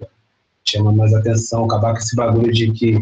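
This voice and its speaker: With a Rio de Janeiro accent, a man speaks at a moderate pace in a somewhat breathy voice of medium pitch. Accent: Rio de Janeiro (carioca) Portuguese. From Duque de Caxias, Baixada Fluminense, Rio de Janeiro. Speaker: MC and musician. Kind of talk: casual interview chat. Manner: slangy, relaxed street speech.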